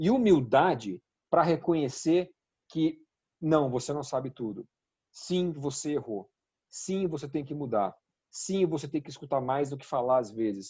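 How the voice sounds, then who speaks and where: Somewhat breathy, the speaker goes at a fairly slow pace with lively intonation, big swings in loudness and long, frequent pauses. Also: man, fairly high pitch for a man. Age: 30s. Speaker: healthcare consulting partner. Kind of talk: interview.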